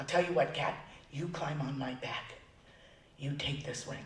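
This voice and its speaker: A put-on character voice from a man, raspy and fairly high-pitched at a moderate pace, with a slight echo and light background noise. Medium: read story.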